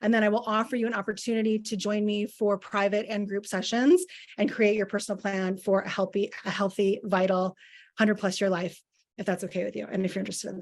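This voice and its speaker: The woman's tone is animated. She talks at a fairly quick pace and a medium pitch. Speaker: wellness coach. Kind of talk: masterclass presentation.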